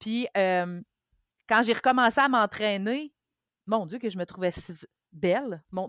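At a moderate pace, a woman speaks at a fairly high pitch with ordinary pitch variation. The very clean recording has a silent background and a dry, close sound with no echo. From Quebec, Mauricie. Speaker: bariatric surgery patient sharing experience. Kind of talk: testimony.

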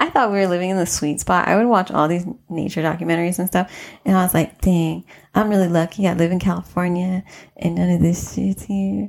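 In a plain, everyday voice, a woman with an American accent talks at a fairly quick pace, her pitch fairly low and her intonation fairly even. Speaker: podcast host. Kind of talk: casual chat.

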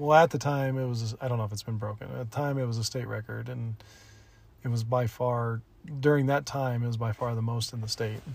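Somewhat breathy and medium in pitch, a man's voice moves at a fairly quick pace. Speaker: podcast co-host. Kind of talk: casual chat. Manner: animated announcer-style delivery.

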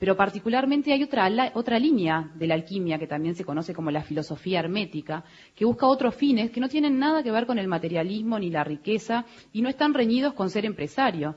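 Somewhat breathy, this voice races at a very fast pace with very wide pitch swings. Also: woman, medium pitch for a woman. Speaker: museum director. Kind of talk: radio interview. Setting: live broadcast venue with audience.

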